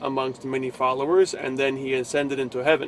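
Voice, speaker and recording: Over noticeable background noise, a man with a New Jersey accent talks at a medium pitch. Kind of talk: casual religious vlog. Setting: in a truck. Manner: halting.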